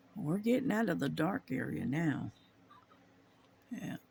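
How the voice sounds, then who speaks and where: In a quiet, raspy put-on character voice, the speaker talks at a fairly slow pace. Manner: talking very quietly.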